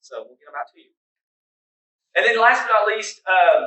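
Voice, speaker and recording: This man speaks with an Oklahoma accent. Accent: Oklahoma, US Southern. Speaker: career tech center representative. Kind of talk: presentation. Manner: fast.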